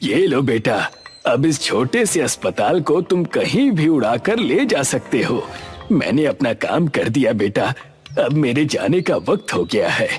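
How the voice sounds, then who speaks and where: With faint music in the background, a man does a cartoonish character voice at a fairly high pitch and a moderate pace. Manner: warm, fatherly.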